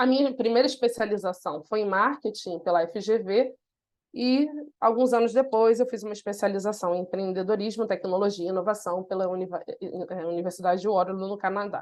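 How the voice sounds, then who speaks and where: At a fairly quick pace, a woman with a Carioca accent speaks at medium pitch with ordinary pitch variation. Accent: Carioca (Rio). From Brazil, Rio de Janeiro (north zone, Méier). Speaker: innovation consultant, webinar presenter. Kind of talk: webinar presentation. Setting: online webinar.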